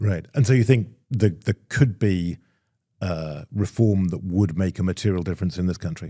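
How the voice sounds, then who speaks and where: Very deep and low in pitch with a dark, mellow tone, a man speaks at a moderate pace with ordinary pitch variation in a very clean recording with a silent background. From Europe. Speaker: podcast host. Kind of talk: panel interview. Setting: live event.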